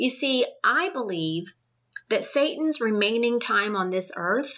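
A woman with an ordinary speaking voice talks at a fairly slow pace and a fairly high pitch. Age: 50s. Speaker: podcast host and Bible teacher. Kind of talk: devotional Bible teaching.

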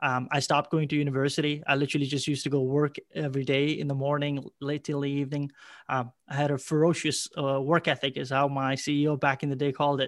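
Over a very clean recording with a silent background, a man speaks very fast at a fairly high pitch, with hardly any pauses and monotone, flat intonation. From Ireland. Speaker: sales executive. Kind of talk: interview.

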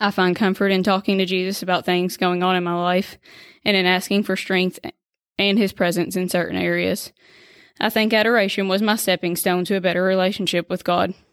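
A woman with a Kentucky accent talks at a fairly quick pace on a very clean recording with a silent background. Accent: Kentucky Southern US. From Kentucky, US. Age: 20s. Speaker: nurse and stay-at-home mom. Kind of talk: faith testimony, partly read from prepared text.

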